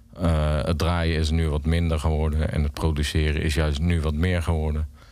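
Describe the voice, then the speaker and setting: In a monotone, flat intonation, a man with a very deep, low pitch speaks at a fairly slow pace. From Netherlands, The Hague. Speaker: DJ and techno producer. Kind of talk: radio interview. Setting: radio studio. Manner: halting, many repetitions.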